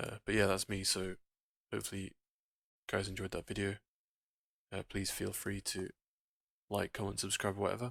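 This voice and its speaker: Soft-spoken and flat in intonation, a man talks at a fairly quick pace in a fairly low pitch with long, frequent pauses, recorded very cleanly with a silent background and a dry, close sound with no echo. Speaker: gaming video creator. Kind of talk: gameplay commentary. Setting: home recording late at night.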